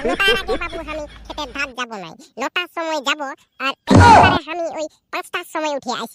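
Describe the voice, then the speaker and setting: In a squeaky, cartoonish character voice, a woman speaks with high pitch and lively intonation. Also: moderate pace. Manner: blunt.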